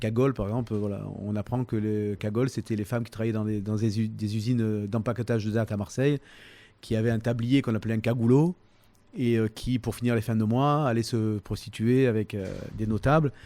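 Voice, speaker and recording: The tone is dark and mellow. Delivery is fairly quick with fairly even intonation. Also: man, medium pitch for a man, very clean recording, silent background. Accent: Provençal. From Toulon, Provence. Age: 50s. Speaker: humorist, musician, actor. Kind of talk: interview answer. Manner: hesitant, casual.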